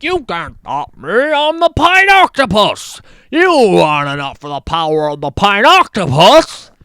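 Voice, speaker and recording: A put-on character voice with a fairly high pitch moves along at a moderate pace. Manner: cocky, taunting.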